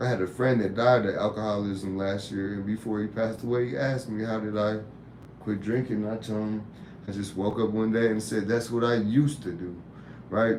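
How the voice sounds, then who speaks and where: Audible room echo carries a man's fairly low-pitched voice, his intonation fairly even. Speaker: YouTube live host and tattoo artist. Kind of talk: casual live-stream talk. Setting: live stream.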